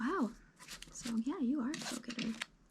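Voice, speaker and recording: Soft-spoken and relaxed in tone, a woman talks with a high pitch. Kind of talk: ASMR roleplay, relaxed job interview. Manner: soft-spoken, rambling, relaxed.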